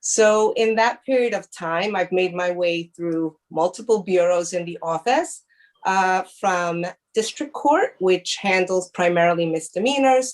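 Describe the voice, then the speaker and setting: Speech moves at a fairly slow pace. The pitch shows ordinary variation. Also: woman, medium pitch for a woman. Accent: Spanish. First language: Spanish. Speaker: prosecutor. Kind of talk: presentation.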